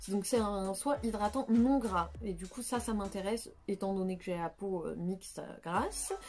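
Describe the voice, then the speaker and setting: Over noticeable background noise, a woman with a medium pitch and ordinary pitch variation talks at a fairly slow pace with hardly any pauses. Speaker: beauty youtuber. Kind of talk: product review vlog. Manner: hesitant, many fillers.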